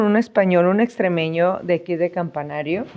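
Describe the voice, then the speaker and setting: A woman's medium-pitched voice, dark and mellow in tone, with ordinary pitch variation. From northern Mexico, Reynosa, Tamaulipas. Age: 40s. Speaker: Mexican immigrant interviewee. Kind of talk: interview. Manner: halting with fillers.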